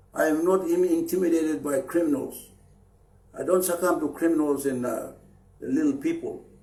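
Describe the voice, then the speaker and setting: A man speaks at a fairly quick pace in a high pitch with a dark, mellow tone. Long, frequent pauses break his speech, and audible room echo surrounds it. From Papua New Guinea, Chimbu highlands. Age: 60s. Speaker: anti-corruption activist leader. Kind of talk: public political appeal. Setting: Facebook live stream. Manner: halting, with fillers and repeats.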